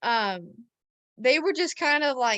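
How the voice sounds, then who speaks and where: A woman with an American accent speaks in a raised, projected voice, high in pitch, with a bright, sharp tone and lively intonation. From rural Missouri, US Midwest. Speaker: rancher and marketing consultant. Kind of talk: interview storytelling.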